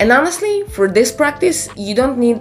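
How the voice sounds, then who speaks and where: This is a woman speaking. Noticeable background noise can be heard behind her. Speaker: filmmaking YouTuber. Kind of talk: tutorial. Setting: indoors, room without padding. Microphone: echoey unpadded room.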